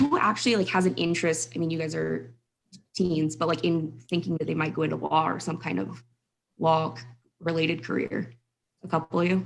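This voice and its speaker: Fairly quick in pace, a woman speaks at a fairly low pitch with vocal fry. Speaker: mock trial scoring judge, criminal defense attorney. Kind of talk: feedback to students. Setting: video call. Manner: fast.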